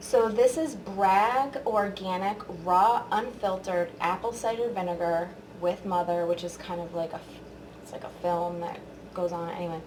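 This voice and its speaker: This woman's voice sits at a medium pitch, with fairly even intonation. Audible room echo surrounds her. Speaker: beauty vlogger. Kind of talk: product review tutorial. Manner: casual, filler-heavy.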